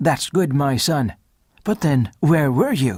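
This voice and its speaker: A man puts on a character voice with fairly high pitch and lively intonation. He speaks at a fairly slow pace. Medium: read story. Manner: warm, fatherly.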